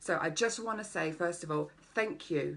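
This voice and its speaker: A woman speaks with an English accent. Her pitch is fairly low. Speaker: life coach. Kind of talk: live-streamed workshop. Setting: Facebook live video. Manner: animated; fast.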